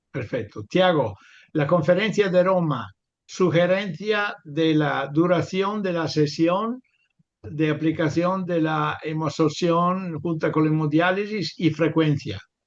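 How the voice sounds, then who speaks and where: A man with a non-native accent and a fairly high pitch speaks at a very slow pace with ordinary pitch variation. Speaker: webinar moderator, professor. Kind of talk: panel moderation. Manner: halting, many fillers.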